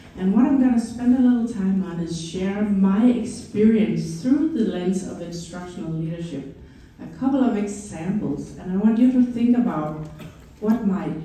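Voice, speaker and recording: A woman speaks at a moderate pace with a Danish accent. Her intonation is lively, and audible room echo surrounds her voice. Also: big swings in loudness. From Denmark. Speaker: educator and former principal. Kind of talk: conference presentation. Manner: enthusiastic.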